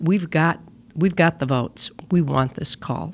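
A woman with an American accent speaks at a moderate pace in a very deep, low pitch, her intonation fairly even. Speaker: state senator. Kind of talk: casual political discussion. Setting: studio.

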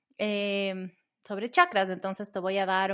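Her pitch medium, a woman speaks at a moderate pace. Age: 40s. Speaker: breathwork coach and podcast host. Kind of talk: solo podcast monologue, Q&A answers.

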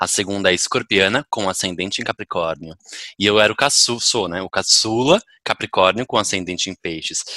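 A man's fairly low-pitched voice with a bright, sharp tone, ordinary pitch variation, and a moderate pace, in a dry, close sound with no echo and a very clean recording with a silent background. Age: 30s. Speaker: podcast guest. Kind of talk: casual chat.

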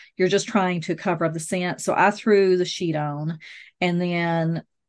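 With a Southern US accent, a woman talks at a moderate pace in a fairly low pitch, her intonation monotone and flat, against a quiet background. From US South. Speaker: hobbyist beekeeper, podcast co-host. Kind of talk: casual chat.

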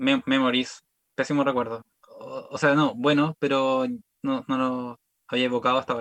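A man with a Chilean accent at a moderate pace, with long, frequent pauses and a dry, close sound with no echo. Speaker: comedian. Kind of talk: casual chat.

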